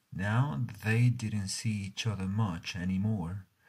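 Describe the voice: Someone does plain reading aloud.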